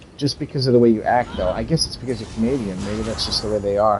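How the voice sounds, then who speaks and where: Ordinary pitch variation from a man at medium pitch, with noticeable background noise. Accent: American. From United States. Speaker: gaming streamer. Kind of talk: casual chat.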